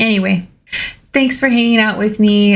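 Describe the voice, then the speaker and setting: A woman's somewhat breathy, medium-pitched voice at a moderate pace. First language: Spanish. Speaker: nail art youtuber. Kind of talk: casual vlog outro. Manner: animated.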